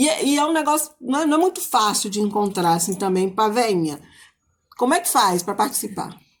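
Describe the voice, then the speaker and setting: A woman with a fairly high pitch speaks in an animated tone, her pitch swinging very widely, on a very clean recording with a silent background. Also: fairly quick pace. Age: 60s. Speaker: host of a Bible and cooking show. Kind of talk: casual chat.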